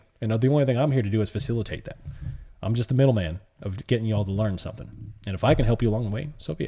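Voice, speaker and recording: A man with an American accent talks very fast in a somewhat breathy, dark, mellow voice of medium pitch with ordinary pitch variation. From US South. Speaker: live-stream options trader and pilot. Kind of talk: live-stream chat. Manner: casual, animated.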